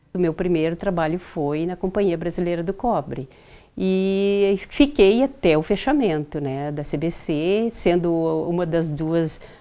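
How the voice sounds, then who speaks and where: Speaking fairly slowly, a woman uses a fairly low pitch, lively intonation, and a dark, mellow tone. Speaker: former mining company employee. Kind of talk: documentary interview.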